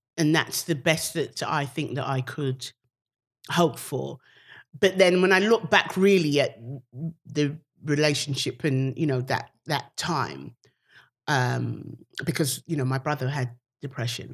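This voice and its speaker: A woman with a British accent speaks at a very deep, low pitch and a fairly slow pace, with vocal fry. The recording is very clean, with a silent background. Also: ordinary pitch variation. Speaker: comedian. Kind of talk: casual chat.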